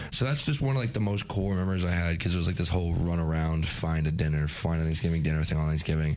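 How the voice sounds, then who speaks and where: A man speaks very fast with hardly any pauses, his voice very deep and low, with ordinary pitch variation and noticeable background noise. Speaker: college radio host. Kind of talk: casual chat. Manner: animated.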